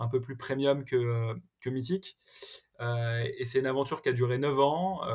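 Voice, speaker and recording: A somewhat breathy male voice against a quiet background. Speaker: tech entrepreneur; podcast guest. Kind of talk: interview. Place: home room.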